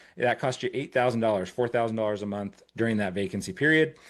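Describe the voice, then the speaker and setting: Speaking at a very fast pace, a man holds a medium pitch with fairly even intonation. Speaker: company representative presenting to investors. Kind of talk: webinar presentation.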